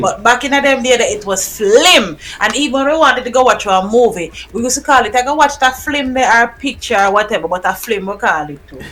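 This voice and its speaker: A woman with a Jamaican accent talks at a very fast pace in a high voice with lively intonation, over noticeable background noise. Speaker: podcast host. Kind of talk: casual podcast conversation.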